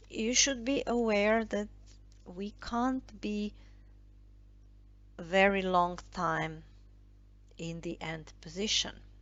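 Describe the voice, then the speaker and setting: At a very slow pace, a woman with a non-native accent speaks with long, frequent pauses. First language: not English. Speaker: tarot and I Ching card reader. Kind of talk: tarot reading monologue. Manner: halting, many fillers.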